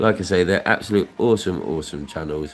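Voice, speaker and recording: Over background music, a man with a very deep, low voice talks at a fairly quick pace in a British accent, his pitch varying in an ordinary way. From Luton, England. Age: 30s. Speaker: scratchcard streamer. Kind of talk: casual chat. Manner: rambling repetitive.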